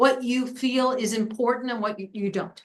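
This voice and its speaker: This woman talks with an American accent at a fairly high pitch. Her intonation stays fairly even. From New York. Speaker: planning consultant. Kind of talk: public meeting discussion. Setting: town committee meeting. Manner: fast; casual, informal.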